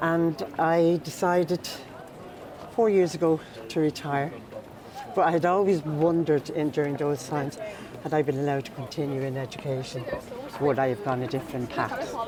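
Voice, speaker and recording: With a Dublin accent, a woman with a very deep, low voice talks at a moderate pace, taking long, frequent pauses and using ordinary pitch variation over noticeable background noise. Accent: Irish, Dublin. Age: 60s. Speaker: mature student and mentor. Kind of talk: personal testimony.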